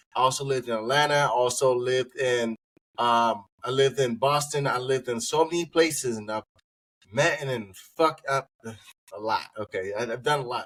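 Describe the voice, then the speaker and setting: A man with an American accent has an ordinary speaking voice. He talks at a moderate pace and a medium pitch, with fairly even intonation. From Washington DC area. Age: 20s. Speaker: podcast host. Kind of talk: casual chat.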